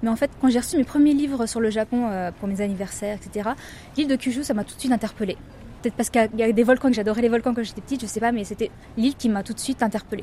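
Words come at a very fast pace. The intonation remains fairly even. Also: woman. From Paris region, France. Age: young. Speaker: French expatriate, tourism website worker. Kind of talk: casual interview.

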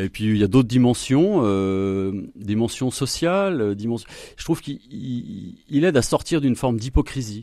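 At a fairly slow pace, a man with a dark, mellow tone and medium pitch speaks on a very clean recording with a silent background. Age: 50s. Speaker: environmental activist. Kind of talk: radio interview. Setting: studio. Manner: halting.

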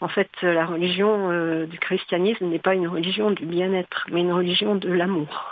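A woman in an ordinary speaking voice, fairly low in pitch, moderately paced with hardly any pauses and fairly even intonation. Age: 60s. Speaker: hospital chaplain. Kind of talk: radio interview. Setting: studio.

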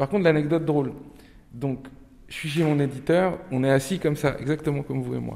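A man with a Turkish accent, fairly high pitch, and dark, mellow tone, at a fairly quick pace with long, frequent pauses and fairly even intonation. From Nantes, western France. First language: Turkish (speaking French). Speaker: novelist. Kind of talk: interview with inmates.

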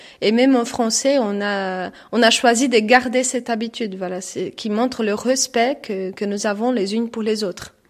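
Her voice fairly high, a woman talks at a moderate pace with hardly any pauses and ordinary pitch variation. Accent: Portuguese. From Brazil. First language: Portuguese (speaking French). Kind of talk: radio interview. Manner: halting.

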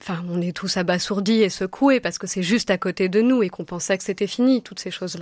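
Speaking very fast with hardly any pauses, a woman keeps a medium pitch and ordinary pitch variation in a dry, close sound with no echo. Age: 30s. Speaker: novelist. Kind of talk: radio interview. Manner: halting, many hesitations.

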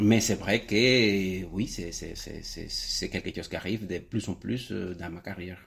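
A man talks at a very slow pace. His loudness swings a lot. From Cuba. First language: Spanish (speaking French). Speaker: painter and art teacher. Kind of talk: radio interview. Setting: in his art studio. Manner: halting, repeats words.

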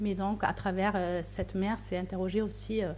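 Speaking in a German accent, a woman uses a dark, mellow tone at medium pitch, keeping a monotone, flat intonation at a moderate pace. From Austria. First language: German (speaking French). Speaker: novelist and playwright. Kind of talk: interview. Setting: remote link from another city. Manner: halting, with frequent hesitations.

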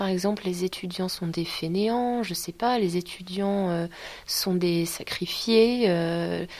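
Someone speaks at a very slow pace with fairly even intonation. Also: woman, medium pitch for a woman. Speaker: student. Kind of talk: testimony.

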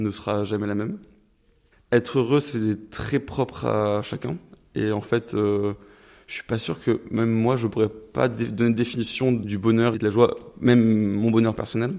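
This voice belongs to a man with a medium pitch. He keeps to a moderate pace. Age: 20s. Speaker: engineering student. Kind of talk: interview. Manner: hesitant, many fillers.

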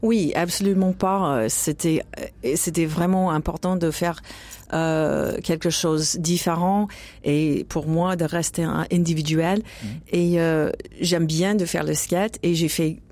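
A woman speaks at a very slow pace in an American accent. Her voice is fairly low and dark and mellow, with fairly even intonation. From United States. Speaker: jazz singer. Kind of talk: interview. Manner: halting.

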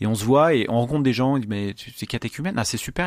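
A man talks in a medium-pitched voice with ordinary pitch variation. The recording is very clean, with a silent background. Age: 30s. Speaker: truck driver. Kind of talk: testimony. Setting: studio. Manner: halting.

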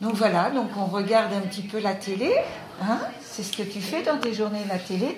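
Room echo and noticeable background noise both accompany a woman's speech. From Vendée, western France. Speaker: friend of a patient. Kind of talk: casual chat. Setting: patient's room.

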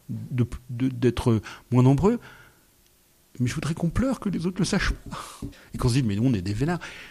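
This man's voice sits at a medium pitch with a dark, mellow tone and a somewhat breathy quality, swinging very widely in pitch. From France. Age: 60s. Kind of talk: radio interview. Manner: halting.

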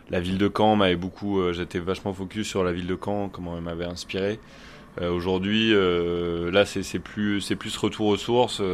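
Very deep and low, the man's voice moves at a fairly slow pace with monotone, flat intonation. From Normandy, Orne. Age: 30s. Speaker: musician. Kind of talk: interview. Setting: rehearsal venue. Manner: halting.

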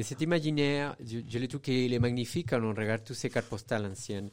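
Recorded very cleanly with a silent background, a man speaks at a moderate pace and medium pitch with ordinary pitch variation. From Venezuela. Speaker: architect and illustrator. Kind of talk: radio interview. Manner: halting.

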